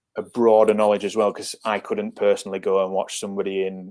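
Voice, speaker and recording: Talking at a very fast pace, a man speaks with a northern English accent. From northern England, near Leeds. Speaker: football scout. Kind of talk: podcast interview.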